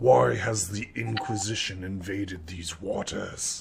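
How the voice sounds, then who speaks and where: Speaking fairly slowly, a man uses a put-on character voice at a fairly low pitch. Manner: commanding, demanding.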